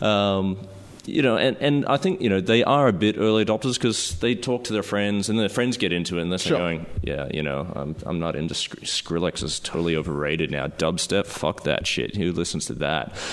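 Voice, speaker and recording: A man with an Australian accent, very deep and low in pitch, lively intonation and hardly any pauses. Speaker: filmmaker. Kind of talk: casual chat. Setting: living room, echoey.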